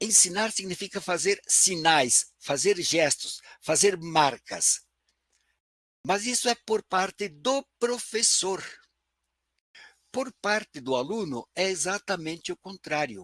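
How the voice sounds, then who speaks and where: A high-pitched man speaks at a very slow pace with long, frequent pauses and lively intonation. The sound is dry and close, with no echo. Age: 80s+. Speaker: professor. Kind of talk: lecture.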